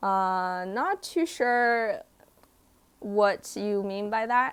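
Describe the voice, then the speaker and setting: On a very clean recording with a silent background, a woman with a Chinese accent speaks at a fairly high pitch with ordinary pitch variation. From China, raised partly in Canada and US. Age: 20s. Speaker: vlogger. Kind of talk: live stream Q&A. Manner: casual, hesitant with fillers.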